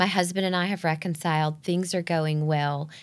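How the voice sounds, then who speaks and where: A woman's very deep, low voice in a Southern US accent at a moderate pace. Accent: Southern US (Georgia). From US South, Northeast Georgia. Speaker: ministry volunteer and business owner. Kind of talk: testimony.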